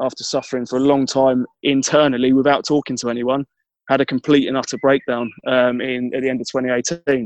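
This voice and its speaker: Using monotone, flat intonation, a man with a southeast English accent speaks at a medium pitch and moderate pace in a dry, close recording with no echo. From Kent, southeast England. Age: 30s. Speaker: mental health advocate and charity fundraiser. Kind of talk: interview. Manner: halting.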